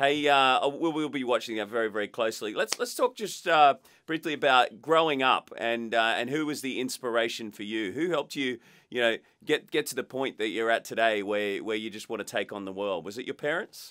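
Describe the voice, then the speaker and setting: With an Australian accent, a man speaks at a fairly quick pace and ordinary pitch variation. His tone is bright and sharp, over a quiet background. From Australia (Queensland). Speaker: podcast host. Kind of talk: interview. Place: studio.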